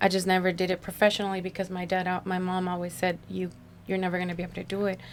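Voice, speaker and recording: Talking at a very fast pace, a woman in an American accent keeps a medium pitch with monotone, flat intonation. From US West Coast, San Fernando Valley, Los Angeles. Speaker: spokesperson and social media creator. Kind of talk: casual interview chat. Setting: radio studio. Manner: loud.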